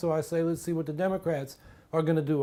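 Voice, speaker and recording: In a very clean recording with a silent background, a man with an American accent and a dark, mellow tone speaks at a very fast pace. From US West Coast, San Francisco Bay Area. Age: 50s. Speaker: political candidate. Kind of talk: campaign biography monologue. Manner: conversational.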